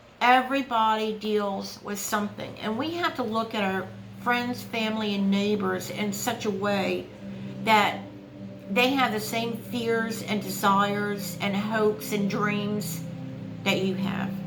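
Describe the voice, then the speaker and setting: A woman's medium-pitched voice at a fairly slow pace, with ordinary pitch variation, audible room echo and noticeable background noise. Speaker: YouTuber and author. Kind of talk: casual vlog monologue. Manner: halting, searches for words; hesitant with many fillers.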